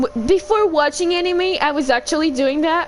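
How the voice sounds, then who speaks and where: Noticeable background noise sits behind a woman who speaks at a moderate pace with ordinary pitch variation. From Quebec, Canada. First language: French. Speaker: gaming livestreamer. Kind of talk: casual livestream chat. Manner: loud.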